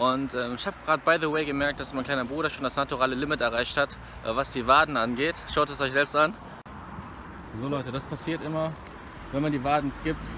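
The speech comes at a fairly quick pace with fairly even intonation. The sound is dry with no echo, and background noise is noticeable. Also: man, fairly high pitch for a man. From Rhineland, Germany (Bergheim near Cologne); Rhineland, Germany. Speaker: fitness vlogger. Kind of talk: casual vlog talk to camera. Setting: gym. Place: street. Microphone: phone near.

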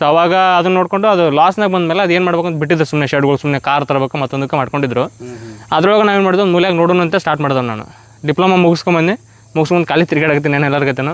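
With ordinary pitch variation, a man speaks in a fairly high pitch. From Mudhol, Bagalkot district, north Karnataka. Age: 20s. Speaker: mushroom farmer and entrepreneur. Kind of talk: interview.

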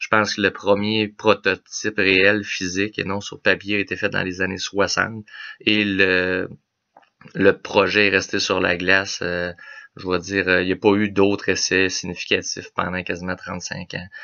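In a Quebec accent, a man talks at a fairly slow pace with monotone, flat intonation against a quiet background. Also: fairly low pitch for a man. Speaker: automotive technician; car vlogger. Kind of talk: casual explainer video. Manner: halting, many filler words. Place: home room. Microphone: webcam.

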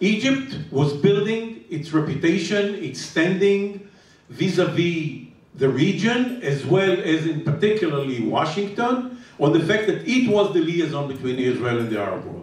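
Audible room echo surrounds the voice. A man talks at a moderate pace. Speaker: panelist. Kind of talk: panel discussion answer. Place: hall.

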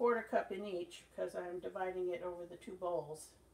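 Loud background noise surrounds a woman speaking with ordinary pitch variation. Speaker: channel host. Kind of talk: casual cooking tutorial. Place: kitchen. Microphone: phone near.

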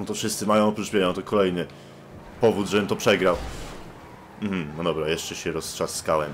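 A man with a very deep, low pitch talks at a fairly quick pace with ordinary pitch variation. He takes long, frequent pauses. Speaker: gaming youtuber. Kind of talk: gaming let's play commentary. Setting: online voice chat while gaming. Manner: casual, joking.

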